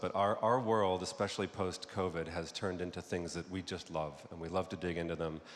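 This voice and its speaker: A man with an American accent and a very deep, low pitch, fairly quick pace, audible room echo. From United States. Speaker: advertising creative executive. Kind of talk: conference talk. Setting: stage with audience.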